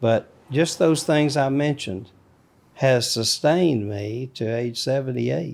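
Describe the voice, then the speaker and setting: Spoken with an Alabama accent at a fairly slow pace, the voice shows ordinary pitch variation. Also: man, medium pitch for a man. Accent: Southern US (Alabama). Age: 70s. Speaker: grandfather, military veteran. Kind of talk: interview. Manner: halting.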